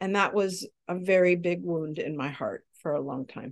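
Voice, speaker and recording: A woman talks at a fairly slow pace in a medium pitch, with lively intonation. Hers is a plain, everyday voice over a quiet background. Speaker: guest in recovery. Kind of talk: casual interview.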